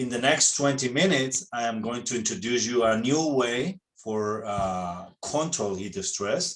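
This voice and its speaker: Using lively intonation and a medium pitch, a man with a Spanish accent talks at a fairly slow pace with hardly any pauses. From Spain. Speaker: veterinarian. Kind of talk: webinar presentation. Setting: online webinar. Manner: halting non-native phrasing.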